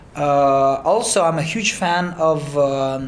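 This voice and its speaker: A man with a Romanian accent speaks with ordinary pitch variation, with room echo audible. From Moldova. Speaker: singer and music producer. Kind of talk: interview. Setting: in-person interview. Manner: halting, many fillers and repeats.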